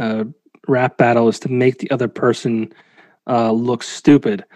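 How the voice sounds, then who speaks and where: With an American accent, a man talks at a moderate pace in a normal speaking voice, his pitch medium. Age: 30s. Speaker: podcast host. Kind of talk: casual chat.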